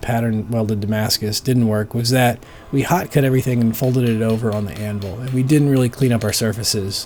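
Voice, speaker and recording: Over noticeable background noise, a man with a medium-pitched voice talks at a fairly quick pace in a relaxed tone with fairly even intonation. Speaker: bladesmith. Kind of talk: casual workshop narration. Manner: relaxed, thinking aloud.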